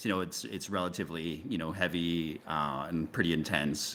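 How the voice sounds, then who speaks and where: The voice has a bright, sharp tone and a Canadian accent. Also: man. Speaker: video game creative lead. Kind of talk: casual interview.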